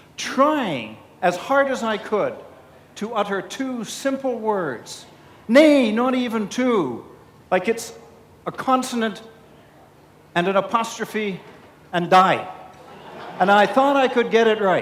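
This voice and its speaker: With audible room echo and noticeable background noise, a man speaks at a fairly slow pace in a high pitch, with ordinary pitch variation and long, frequent pauses. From Canada. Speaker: keynote speaker, public speaking club president. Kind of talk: keynote speech. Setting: stage with audience at conference. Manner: animated.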